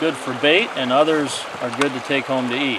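With music in the background, a man speaks in a dry sound with no echo and ordinary pitch variation. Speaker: vlogger. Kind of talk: casual fishing tutorial chat. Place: boat. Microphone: phone near.

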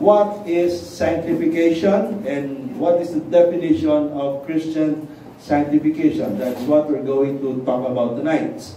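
A man talks at a fairly slow pace with ordinary pitch variation. Light background noise and audible room echo are present. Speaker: preacher. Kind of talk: sermon. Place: church.

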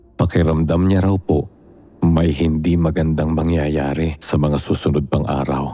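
A man speaks at a fairly slow pace in a very deep, low voice with a dramatic tone. Background noise is noticeable. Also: very even loudness. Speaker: narrator. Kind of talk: horror story narration, reading a letter-sender's account aloud. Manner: measured storyteller pace, suspenseful and dramatic, polite.

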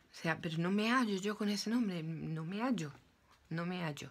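A woman speaks at a fairly slow pace. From Spain, Málaga; Spain. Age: 40s. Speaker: YouTuber. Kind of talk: opinion vlog monologue. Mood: earnest, emotional storytelling. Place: home room. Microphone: phone near.

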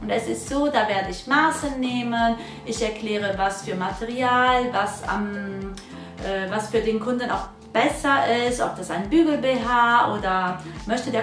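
Against clear music in the background, a woman speaks at a fairly slow pace with ordinary pitch variation. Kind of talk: channel introduction talk. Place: workshop.

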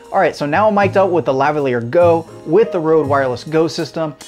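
Faint music plays in the background as a man speaks at a fairly quick pace. His pitch variation is ordinary. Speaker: gear reviewer. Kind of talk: casual review talk to camera. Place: home room. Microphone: lapel.

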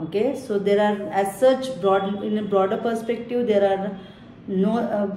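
Fairly slow and with fairly even intonation, a woman speaks. Audible room echo and light background noise surround her voice. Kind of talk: educational explanation to camera. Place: office. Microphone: phone near.

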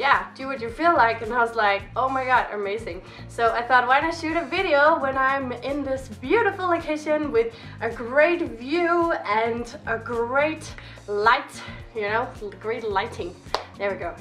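A woman speaks at a fairly slow pace in a high voice. Faint music plays in the background. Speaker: vlogger. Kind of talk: casual vlog chat. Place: home room. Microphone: camera far.

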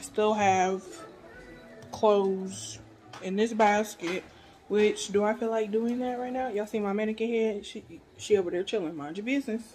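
At a fairly slow pace, a woman talks with a medium pitch, a slightly mellow tone and fairly even intonation.

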